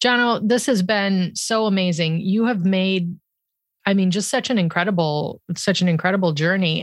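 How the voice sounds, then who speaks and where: A woman's normal speaking voice at medium pitch, with ordinary pitch variation, a moderate pace and a quiet background. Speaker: podcast host. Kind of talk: casual interview chat.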